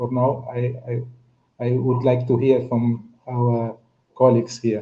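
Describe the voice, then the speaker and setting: Very slow and in a monotone, flat intonation, a man talks in a somewhat breathy voice at a medium pitch. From Cape Verde. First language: Cape Verdean Creole / Portuguese. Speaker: panelist on pan-African discussion. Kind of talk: online panel discussion. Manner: halting, many fillers and repetitions.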